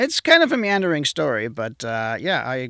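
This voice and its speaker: A man with a German accent and a bright, sharp tone speaks at a moderate pace on a very clean recording with a silent background. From southwest Germany. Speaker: museum exhibits tech manager. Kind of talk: podcast interview.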